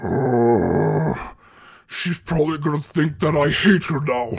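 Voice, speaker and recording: A man puts on a character voice at a fairly high pitch. His pace is fairly slow. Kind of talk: audio roleplay. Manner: worried, then angry.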